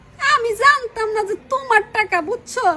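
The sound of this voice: A put-on character voice, extremely high-pitched for a woman, bright and sharp, fairly quick and fairly even in intonation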